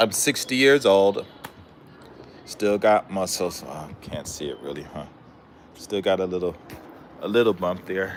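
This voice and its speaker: A man with an American accent speaks at a fairly slow pace, in a fairly low pitch, with ordinary pitch variation. His loudness swings widely, long pauses come often, and music plays in the background. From Southern California. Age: 60s. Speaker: live streamer. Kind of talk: casual livestream chat. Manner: halting, many fillers.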